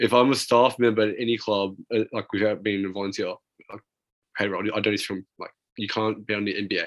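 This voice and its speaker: A man talks at a fairly quick pace in a monotone, flat way. Long, frequent pauses break up his speech. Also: fairly low pitch for a man. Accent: Australian. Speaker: basketball podcast co-host. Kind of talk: casual chat.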